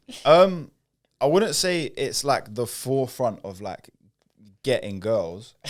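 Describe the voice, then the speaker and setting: A man speaks at a very slow pace and medium pitch, with long, frequent pauses. His pitch swings very widely and his loudness varies greatly. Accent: British. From North London, England. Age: 20s. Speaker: singer. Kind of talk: casual chat.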